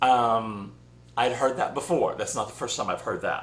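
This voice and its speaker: A man with a Southern US accent talks amid audible room echo. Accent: southern US twang. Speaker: spiritual channel host. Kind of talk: casual vlog monologue. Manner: rambling, conversational with fillers.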